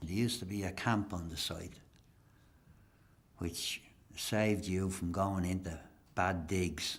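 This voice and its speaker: An Irish accent at a fairly slow pace, broken by long, frequent pauses. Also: man, very deep, low pitch for a man, fairly even intonation. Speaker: interviewee. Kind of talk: interview.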